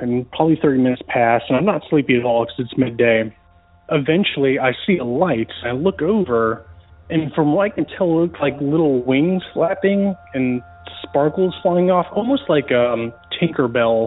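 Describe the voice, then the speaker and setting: Over noticeable background noise, a man with a fairly high pitch and an American accent speaks at a moderate pace with lively intonation. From US South (Georgia and Florida). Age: 30s. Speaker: caller. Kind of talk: recorded voicemail story.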